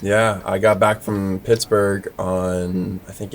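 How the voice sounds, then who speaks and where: The speaker has an American accent, with noticeable background noise behind the voice. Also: man. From Florida. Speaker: podcast host. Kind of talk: casual interview chat. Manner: casual.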